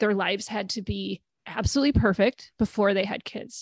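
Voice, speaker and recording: A plain, everyday voice from a woman with an American accent, medium in pitch, with fairly even intonation and a dry, close sound with no echo. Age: 40s. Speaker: podcast host and narrative therapy coach. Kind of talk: casual interview chat.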